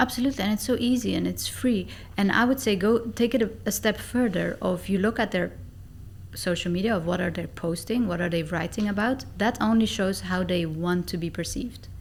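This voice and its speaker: Vocal fry runs through a woman's medium-pitched voice. She talks at a fairly quick pace with ordinary pitch variation. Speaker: negotiation and sales expert. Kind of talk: podcast interview. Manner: fast.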